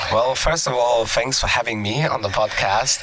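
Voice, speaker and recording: A man talks at an unhurried, moderate pace while a noticeable background noise hums along beneath him. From Germany. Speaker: aviation YouTuber. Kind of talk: podcast interview. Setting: studio. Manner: hesitant, many fillers.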